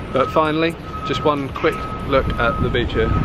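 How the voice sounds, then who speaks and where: Loud background noise surrounds a man speaking at a moderate pace with ordinary pitch variation, in a dry sound with no echo. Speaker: travel vlogger. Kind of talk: casual vlog chat. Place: beach. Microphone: phone near.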